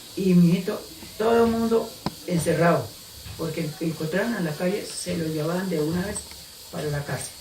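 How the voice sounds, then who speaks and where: A man's high-pitched voice at a moderate pace, with audible room echo and noticeable background noise. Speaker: eyewitness of a historical event. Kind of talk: oral history interview.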